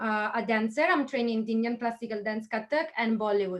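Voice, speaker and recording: A woman with an Italian accent and a fairly high pitch for a woman. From Italy. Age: 30s. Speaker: dancer and event organizer. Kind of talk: panel discussion.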